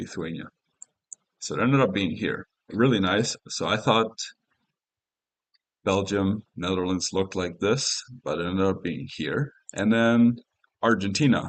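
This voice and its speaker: Speaking at a fairly slow pace with long, frequent pauses, a man uses a fairly low pitch and ordinary pitch variation. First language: Spanish. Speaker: gaming streamer. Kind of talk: live stream commentary. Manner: casual, hesitant with fillers.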